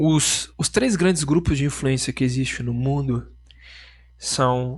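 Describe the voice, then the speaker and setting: Over a quiet background, a man talks at a medium pitch in a somewhat breathy voice. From Rio Grande do Sul, Brazil.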